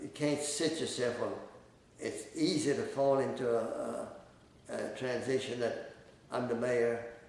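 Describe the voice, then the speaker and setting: A man at a moderate pace amid audible room echo and noticeable background noise. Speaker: former mayor. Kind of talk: interview. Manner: halting, many fillers.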